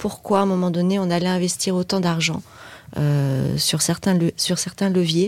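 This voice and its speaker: A woman's voice, a plain, everyday voice, sits at a fairly low pitch with fairly even intonation in a very clean recording with a silent background. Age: 50s. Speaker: digital agency partner. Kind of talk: casual interview chat.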